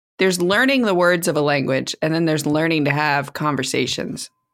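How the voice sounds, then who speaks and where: A woman at a fairly quick pace, very clean recording with a silent background. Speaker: podcast co-host. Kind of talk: casual chat.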